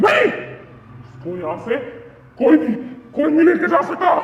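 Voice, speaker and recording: Using a put-on character voice, a man speaks at an extremely high pitch and a fairly slow pace, with a clear echo around him. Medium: comedy sketch. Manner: menacing.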